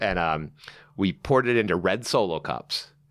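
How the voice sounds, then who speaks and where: A man with an American accent speaks at a moderate pace in a very deep, low pitch with vocal fry. His intonation is lively. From Southern California. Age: 50s. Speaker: wine author and sommelier. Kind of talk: casual chat.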